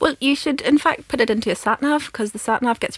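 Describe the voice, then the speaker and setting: In a Northern Irish accent, a woman speaks at a very fast pace with ordinary pitch variation. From Northern Ireland. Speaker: film podcast co-host, academic. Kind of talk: casual chat.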